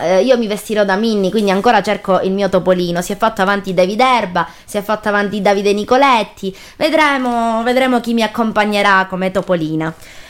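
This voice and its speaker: A woman talks at a fairly quick pace in a Sicilian accent. Her pitch varies in an ordinary way. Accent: Sicilian, open-mouthed pronunciation. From Sicily. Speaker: radio host. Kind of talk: casual chat.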